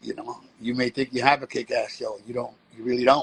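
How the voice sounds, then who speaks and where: A New York accent at a fairly quick pace, dry and close with no echo, over noticeable background noise. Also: man. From US, New York (Bronx). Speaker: street performer and breakdancer. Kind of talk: interview.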